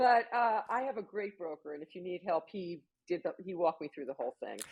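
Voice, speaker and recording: A woman with an ordinary speaking voice talks at a medium pitch and a fairly quick pace, with lively intonation and big swings in loudness. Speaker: author and talk show host. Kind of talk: interview chat.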